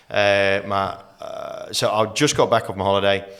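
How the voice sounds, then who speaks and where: Clear background noise sits under a man talking at a moderate speed. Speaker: master auctioneer, real estate trainer and mentor. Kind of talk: casual podcast interview answer, storytelling.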